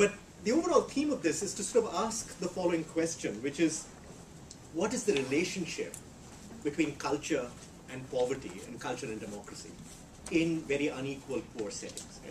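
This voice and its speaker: A man's voice with very wide pitch swings and big swings in loudness, in audible room echo. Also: fairly high pitch for a man, fairly quick pace. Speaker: economist. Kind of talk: lecture. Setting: seminar room with audience. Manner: fast; halting, many repetitions and fillers.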